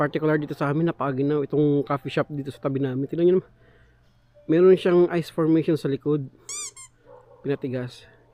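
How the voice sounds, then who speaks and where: A man talks at a very fast pace yet leaves long, frequent pauses, over noticeable background noise. His voice is fairly high in pitch, with fairly even intonation. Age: 30s. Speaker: vlogger, overseas worker. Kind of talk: casual vlog. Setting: outdoors.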